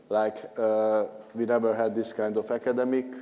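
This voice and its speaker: A man speaks at a medium pitch with fairly level intonation. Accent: Hungarian. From Hungary. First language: Hungarian. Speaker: conference panelist, regional food project partner. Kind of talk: panel discussion. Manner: halting, many fillers.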